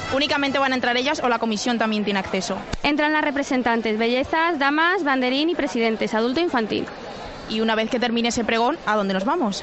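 A woman with a high pitch speaks very fast at a very even loudness with ordinary pitch variation, over noticeable background noise and audible room echo. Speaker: radio reporter. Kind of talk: live field report. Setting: outdoors in town square.

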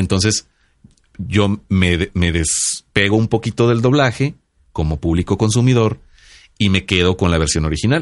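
With an ordinary speaking voice, a man talks at a fairly slow pace in a fairly low pitch, his intonation lively and his loudness very even against a quiet background. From Mexico, Sinaloa. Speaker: podcast co-host. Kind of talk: casual chat. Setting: studio.

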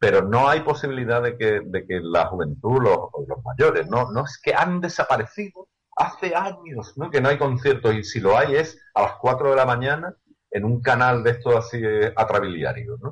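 Speaking at a moderate pace, a man with a medium pitch uses lively intonation and vocal fry. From Andalusia, Seville. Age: 50s. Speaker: youtuber. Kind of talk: interview.

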